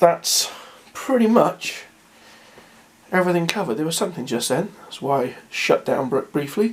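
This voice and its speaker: A man with a high pitch speaks with very wide pitch swings and long, frequent pauses. Noticeable background noise sits behind him. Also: moderate pace. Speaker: tabletop wargame rules presenter. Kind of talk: casual tutorial talk to camera.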